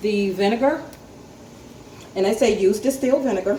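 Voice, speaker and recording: Heard with audible room echo, a woman with an American accent speaks at a fairly high pitch with ordinary pitch variation. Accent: picking up a country twang. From North Carolina. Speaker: home canning vlogger. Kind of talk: tutorial. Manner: casual, hesitant with frequent ums.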